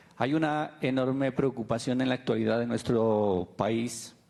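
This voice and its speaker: A man's normal speaking voice at a moderate pace with fairly even intonation. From Colombia, Nariño. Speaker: audience member. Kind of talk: audience question.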